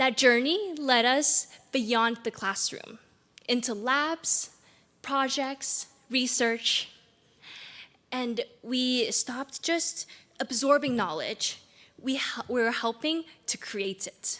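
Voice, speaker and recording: With a Chinese accent, a woman talks very slowly in a high voice, using ordinary pitch variation and leaving long, frequent pauses. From China, Beijing. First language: Mandarin Chinese. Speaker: graduating student speaker. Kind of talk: commencement speech.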